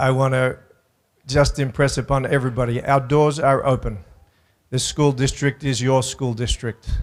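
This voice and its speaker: A man in an Australian accent, medium pitch, monotone and flat in intonation. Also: moderate pace. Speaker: school superintendent. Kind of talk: public speech.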